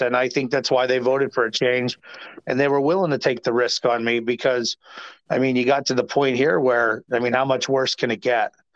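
Over a quiet background, a man with an American accent speaks fairly quickly at medium pitch in monotone, flat intonation, with a dry, close sound and no echo. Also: very even loudness. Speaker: former city councilman. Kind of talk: interview. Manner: halting, many fillers.

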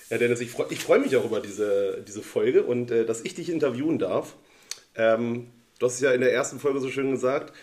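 A man with an ordinary speaking voice talks at a fairly quick pace, with medium pitch and ordinary pitch variation. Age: 30s. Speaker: friend, former club shooter. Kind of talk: casual interview chat.

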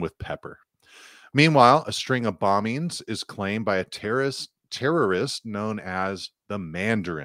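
A man's unremarkable speaking voice, fairly low in pitch, with lively intonation at a fairly slow pace, in a dry, close sound with no echo on a very clean recording with a silent background. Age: 40s. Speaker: podcast co-host. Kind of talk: reading aloud; casual chat.

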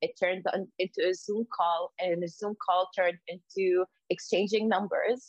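A woman speaks at a moderate pace with medium pitch. The sound is dry and close, with no echo. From Lebanon. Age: 20s. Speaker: podcast co-host, architect. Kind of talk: casual chat. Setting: remote call.

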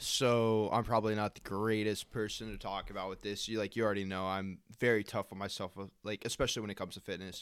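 Over a silent background in a very clean recording, a man with a fairly low pitch talks at a fairly quick pace in a normal speaking voice. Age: 20s. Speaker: gym-goer. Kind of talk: casual chat.

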